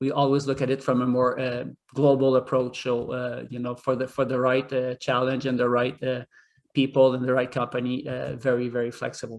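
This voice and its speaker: This man speaks with a French accent at a fairly quick pace. His pitch is medium, and his intonation is monotone and flat. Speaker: hotel executive. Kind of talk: job interview. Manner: hesitant, many fillers.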